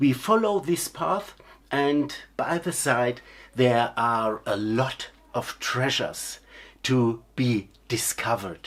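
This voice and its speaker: Words come out at a very slow pace. A non-native accent colors the speech. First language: not English. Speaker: clown teacher. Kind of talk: lecture. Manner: halting.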